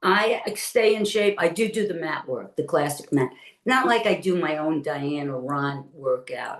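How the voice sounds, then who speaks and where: Speaking with a Brooklyn accent, a woman uses a fairly low pitch with very wide pitch swings at a fairly slow pace. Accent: New York (Brooklyn). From New York City (Brooklyn). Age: 70s. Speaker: retired Pilates teacher and former studio owner. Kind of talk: interview. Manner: animated.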